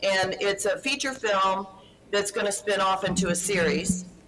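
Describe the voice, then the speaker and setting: With a Texan accent, a woman speaks fairly slowly at medium pitch over noticeable background noise. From Houston, Texas. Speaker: actress and producer.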